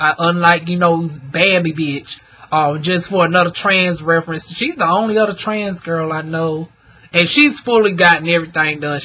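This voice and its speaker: Moderately paced talking, with noticeable background noise behind it. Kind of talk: informal slang. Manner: casual, chatty, talks to viewers.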